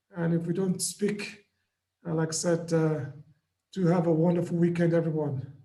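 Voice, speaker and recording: A man's high-pitched voice with a dark, mellow tone, monotone, flat intonation and very even loudness, at a moderate pace with long, frequent pauses and audible room echo. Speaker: trading mentor. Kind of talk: live trading session.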